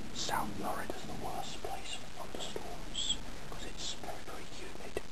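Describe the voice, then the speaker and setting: Over noticeable background noise, a voice whispers at a moderate speed. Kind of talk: casual conversation. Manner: whispered.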